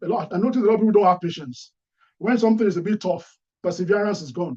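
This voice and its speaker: A man's high-pitched voice with a dark, mellow tone, lively intonation and a very fast pace. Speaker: career speaker. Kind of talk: talk.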